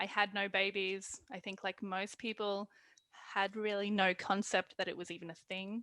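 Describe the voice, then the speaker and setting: On a very clean recording with a silent background, a woman of medium pitch speaks at a moderate pace in a bright, sharp tone with monotone, flat intonation, the sound dry and close with no echo. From Australia. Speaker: lactation consultant. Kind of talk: interview.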